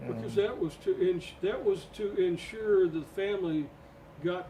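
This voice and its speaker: There is noticeable background noise as a man talks at a fairly slow pace. His pitch varies in an ordinary way. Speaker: podcast co-host.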